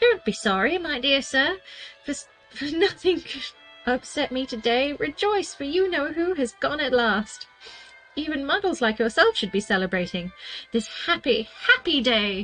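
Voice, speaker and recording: Putting on a squeaky character voice, a woman talks at a moderate pace with faint music in the background. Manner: delighted, exuberant.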